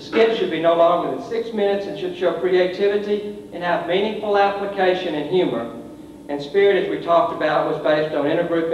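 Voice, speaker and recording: A man's high-pitched voice at a moderate pace, with audible room echo and light background noise. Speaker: presenter. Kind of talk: formal report to a board. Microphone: podium.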